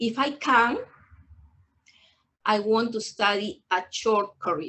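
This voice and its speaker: Very slow speech in a Peruvian accent with ordinary pitch variation. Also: woman, fairly high pitch for a woman. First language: Spanish. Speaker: adult English student. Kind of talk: personal testimony. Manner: halting, hesitant.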